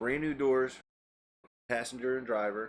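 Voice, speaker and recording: A man is talking. His pace is moderate. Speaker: podcast host. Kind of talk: casual chat. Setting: studio. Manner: loud.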